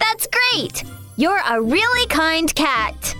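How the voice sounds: A woman speaks slowly in a put-on character voice, pitched extremely high with big swings. Her tone is bright and sharp, with faint music in the background.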